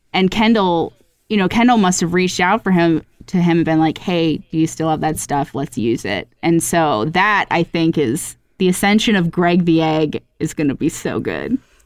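The intonation is lively. The pace is moderate. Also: woman, fairly low pitch for a woman. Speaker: podcast co-host. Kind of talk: casual chat. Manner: says like a lot.

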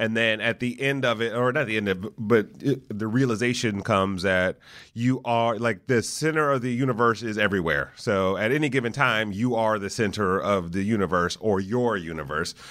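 A man speaks in an unremarkable speaking voice at a fairly low pitch and a moderate pace. His pitch variation is ordinary, and there are hardly any pauses. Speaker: podcast host. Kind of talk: casual interview. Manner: jokey.

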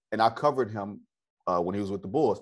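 The man has an ordinary speaking voice at a fairly low pitch. His pitch varies in an ordinary way. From US Midwest, Detroit. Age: 30s. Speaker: sports journalist. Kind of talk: casual interview chat.

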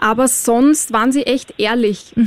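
A woman with an Austrian accent speaks in a high pitch at a fairly slow pace. Noticeable background noise sits behind her. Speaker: reality TV contestant. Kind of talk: casual chat. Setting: studio.

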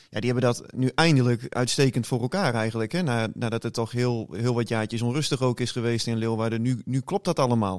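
A man talks in a normal speaking voice at a fairly quick pace with hardly any pauses, his medium pitch showing ordinary variation, on a very clean recording with a silent background and a dry, close sound with no echo. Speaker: sports journalist. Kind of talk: casual chat.

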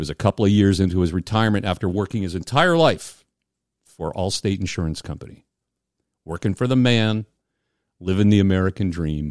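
On a very clean recording with a silent background and a dry, close sound with no echo, a man with a fairly low pitch and ordinary pitch variation talks at a fairly quick pace but leaves long, frequent pauses. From US Northeast. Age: 60s. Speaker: podcast host. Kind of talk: casual chat.

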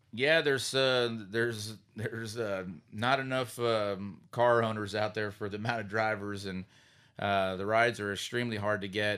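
A man's bright, sharp voice with an American accent, fairly low in pitch, at a moderate pace with fairly even intonation, on a very clean recording with a silent background. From Pennsylvania (Sinking Spring). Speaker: racing driver. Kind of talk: casual interview. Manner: halting, many fillers.

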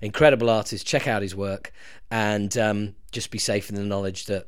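A man with a plain, everyday voice speaks at a moderate pace, his fairly low pitch held in fairly even intonation. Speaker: podcast host and band singer. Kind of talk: podcast interview.

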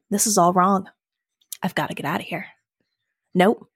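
The recording of this woman is very clean, with nothing audible behind her. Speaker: game designer and player. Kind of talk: casual role-playing game chat. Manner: upbeat.

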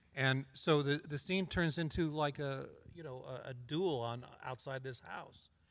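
Using an ordinary speaking voice with an American accent, a man speaks at a fairly slow pace and fairly high pitch, with fairly even intonation and big swings in loudness. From Colorado, US. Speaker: TV director and producer. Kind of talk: live panel discussion.

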